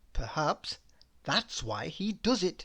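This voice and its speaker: Against a quiet background, a man with a high pitch speaks very slowly, his pitch swinging very widely. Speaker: storyteller. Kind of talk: children's story read-aloud.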